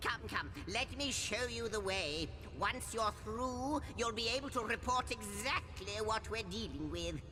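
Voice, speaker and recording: Someone uses a put-on character voice at a moderate pace over loud background noise. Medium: machinima. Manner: polite, theatrical, fussy.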